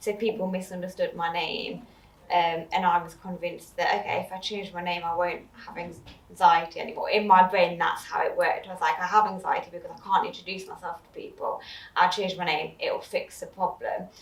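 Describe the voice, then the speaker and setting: A woman speaks fairly fast while background noise is noticeable. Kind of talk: personal testimony in chat. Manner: hesitant, many fillers.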